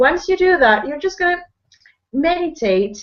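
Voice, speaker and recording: A woman speaks in a Spanish accent. Her pace is fairly slow and her intonation lively. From Peru. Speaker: online business person, guest speaker. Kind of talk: motivational talk. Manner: energetic, slightly flustered.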